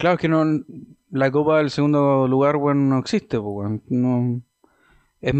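In a Chilean accent, a man talks at a moderate pace with a fairly high pitch and ordinary pitch variation. The sound is dry and close with no echo, over a quiet background. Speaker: podcast host. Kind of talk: casual chat.

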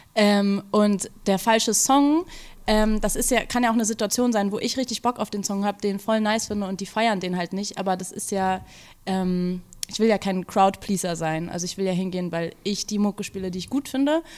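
Speaking at a moderate pace, a woman uses a medium pitch. Her pitch variation is ordinary. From Berlin, Kreuzberg. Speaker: music journalist. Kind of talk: interview. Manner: hesitant, many filler sounds.

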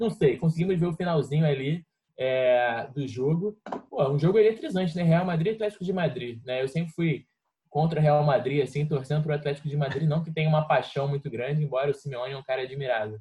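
A dark, mellow, somewhat breathy voice rushes along at a very fast pace. Its pitch varies in an ordinary way. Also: man, fairly high pitch for a man. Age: 20s. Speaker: football podcast co-host. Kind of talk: casual chat.

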